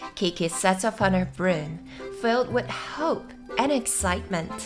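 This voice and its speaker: Soft-spoken, a woman talks in a gentle, calm tone with very wide pitch swings. Music plays in the background. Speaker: English teacher. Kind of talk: gentle read-aloud of a story summary for sleep and listening practice. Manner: gentle, soft, calm.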